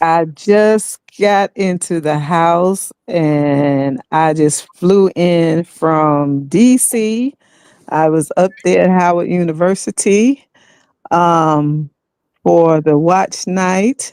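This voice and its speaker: In a dry, close recording with no echo, a woman with a fairly low pitch and ordinary pitch variation speaks at a very slow pace. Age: 60s. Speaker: retired military veteran. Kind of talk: casual chat.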